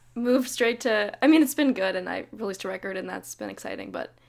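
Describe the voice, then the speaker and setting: A woman with an American accent speaks fairly quickly, with ordinary pitch variation. The recording is very clean, the background silent. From US West Coast, Davis, Northern California. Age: 20s. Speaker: folk singer-songwriter. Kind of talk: interview.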